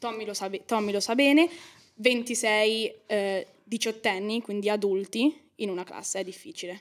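At a fairly slow pace, a woman with a fairly high pitch and ordinary pitch variation shows big swings in loudness, an unremarkable speaking voice. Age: young. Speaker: law student. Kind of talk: podcast interview.

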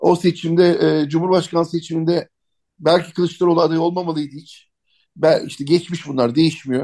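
At a moderate pace, a man with a high pitch and a dark, mellow tone speaks in a monotone, flat delivery, his loudness swinging widely. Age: 50s. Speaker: political communication consultant and writer. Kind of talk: radio interview.

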